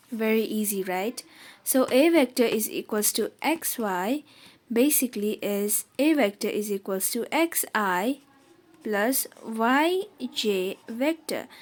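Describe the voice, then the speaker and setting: Very wide pitch swings mark a woman speaking with a Nepali accent. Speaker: math tutor. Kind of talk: tutorial. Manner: casual, informal.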